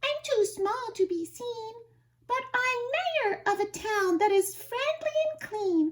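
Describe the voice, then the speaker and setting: Someone uses a put-on character voice that is squeaky and extremely high in pitch. The pace is fairly slow. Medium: read story.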